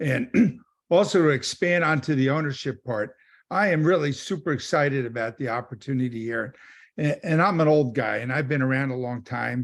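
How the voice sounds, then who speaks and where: An ordinary speaking voice from a man, fairly high in pitch, at a moderate pace with ordinary pitch variation, in a very clean recording with a silent background. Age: 60s. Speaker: solar sales rep. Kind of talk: team training call.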